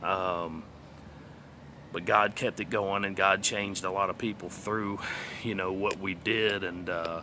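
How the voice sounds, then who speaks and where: A man with a Texas accent, fairly low in pitch, bright and sharp in tone, monotone and flat, at a fairly slow pace with long, frequent pauses. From southeast Texas, Beaumont. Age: 30s. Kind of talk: testimony. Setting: outdoors. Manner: casual, hesitant with many fillers.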